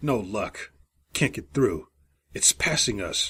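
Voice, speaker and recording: Putting on a gruff, growling character voice, a man speaks at a fairly slow pace and medium pitch in a very clean recording with a silent background. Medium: read story.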